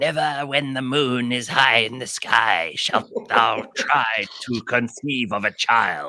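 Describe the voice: Using a put-on character voice, a man talks at a fairly slow pace and medium pitch with hardly any pauses.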